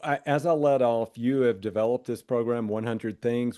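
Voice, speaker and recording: Against a quiet background, a man with a Southern US accent speaks at medium pitch in a dark, mellow tone. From US South. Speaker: podcast host, editor. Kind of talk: podcast interview.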